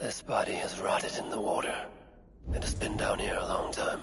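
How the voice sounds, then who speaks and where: Whispering in a put-on character voice, a man speaks at a fairly quick pace over clear background noise. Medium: game stream. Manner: low, grim muttering.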